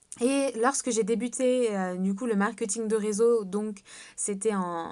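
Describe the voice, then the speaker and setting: Over a quiet background, a woman speaks at a fairly slow pace. Her pitch is fairly high and her intonation fairly even. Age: 20s. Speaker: network marketing seller. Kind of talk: sales pitch. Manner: hesitant, many fillers.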